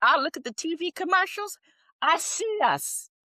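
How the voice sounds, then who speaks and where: A woman's raised, projected voice with an American accent, high-pitched and bright, sharp in tone, at a fairly slow pace with a dry, close sound and no echo. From US Midwest, Milwaukee. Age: 70s. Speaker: retired teacher and civil rights activist. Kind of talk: interview. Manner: animated; halting, with frequent restarts.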